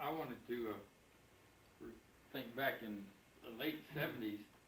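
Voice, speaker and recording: Audible room echo surrounds the speaker. He is a man of medium pitch with ordinary pitch variation. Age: 70s. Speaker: retired company officer, birthday honoree. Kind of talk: speech at family birthday party.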